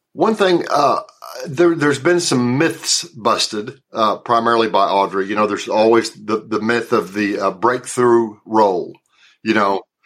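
A man with a Southern accent, medium pitch, lively intonation and a fairly slow pace. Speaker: actor. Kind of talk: interview. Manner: halting, many repeated words.

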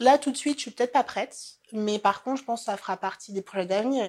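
Here a woman is speaking. Her pace is very fast. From French Antilles (Marie-Galante, Guadeloupe). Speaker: career changer sharing her story. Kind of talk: personal testimony.

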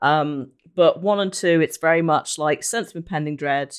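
A woman with a British accent talks at a moderate pace in a very clean recording with a silent background. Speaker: podcast host and Twitch streamer.

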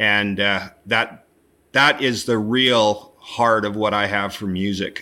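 Speaking very slowly with a Canadian accent, a man uses a fairly low pitch, a bright, sharp tone and monotone, flat intonation. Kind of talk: interview. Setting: remote call into live stream. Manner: halting, repeats words.

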